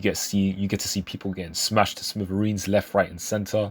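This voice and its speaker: Quiet but enthusiastic, a man with a fairly low pitch speaks on a very clean recording with a silent background. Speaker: manga reviewer. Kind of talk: casual review talk. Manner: casual, enthusiastic.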